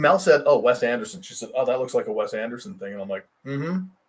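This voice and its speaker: A man talks very fast at a fairly high pitch. His voice has vocal fry and very wide pitch swings. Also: big swings in loudness. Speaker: guest talk show host. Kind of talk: casual live online talk show chat.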